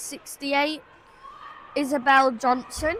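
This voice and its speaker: Over noticeable background noise, a woman with a high pitch uses a raised, projected voice and ordinary pitch variation. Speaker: amateur livestream commentator. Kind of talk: live commentary. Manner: hesitant, many fillers; loud, speaking over background noise.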